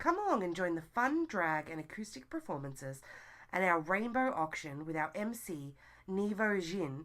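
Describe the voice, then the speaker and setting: Delivered at a moderate pace with lively intonation, the speech carries an Australian accent. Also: woman. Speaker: community podcast co-host. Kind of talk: reading community event listings.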